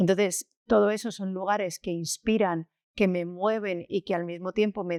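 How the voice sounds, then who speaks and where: A woman's medium-pitched voice at a fairly slow pace with fairly even intonation, dry and close with no echo, in a very clean recording with a silent background. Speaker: school founder. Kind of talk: interview.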